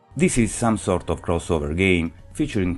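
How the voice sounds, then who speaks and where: At a moderate pace and with ordinary pitch variation, the voice continues over background music. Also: man. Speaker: video game reviewer. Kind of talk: game review narration.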